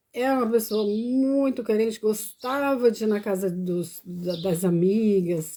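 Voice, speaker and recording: A dark, mellow tone with ordinary pitch variation. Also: woman. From Brazil, Paranaíba. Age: 50s. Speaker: vlogger. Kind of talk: personal testimony live stream.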